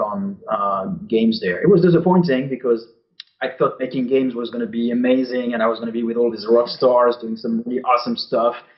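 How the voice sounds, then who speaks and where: At a fairly quick pace, a man with a French accent speaks at medium pitch with ordinary pitch variation. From France. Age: 40s. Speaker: game designer. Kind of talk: interview. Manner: halting, many fillers.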